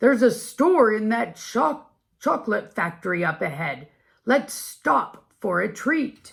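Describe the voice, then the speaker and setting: Using a put-on character voice, a woman speaks raspy and fairly high-pitched at a fairly slow pace, with very wide pitch swings, in a very clean recording with a silent background. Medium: read story. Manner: warm, friendly.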